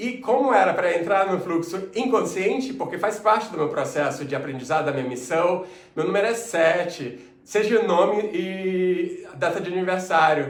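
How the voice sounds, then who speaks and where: Noticeable background noise and audible room echo surround this recording. A man speaks with a high pitch and lively intonation. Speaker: entrepreneur and life coach. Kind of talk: personal testimony monologue. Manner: fast; hesitant fillers.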